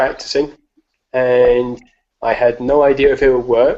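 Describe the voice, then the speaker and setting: A man with an English accent speaks at a medium pitch. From England. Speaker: escapologist and strongman. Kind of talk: live video Q&A.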